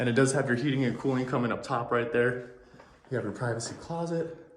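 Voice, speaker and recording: There is noticeable background noise and audible room echo. A man of medium pitch speaks at a fairly quick pace with fairly even intonation. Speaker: real estate agent. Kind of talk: home tour walkthrough. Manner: casual, slightly halting.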